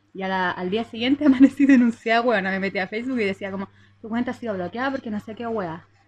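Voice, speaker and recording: A woman speaks very fast in a fairly high, somewhat breathy voice, her loudness swinging widely while her pitch varies in an ordinary way. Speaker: podcast co-host. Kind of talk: casual chat.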